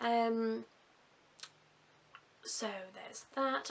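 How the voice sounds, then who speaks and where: With noticeable background noise, a woman speaks in an English accent with ordinary pitch variation. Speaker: vlogger. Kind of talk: video diary.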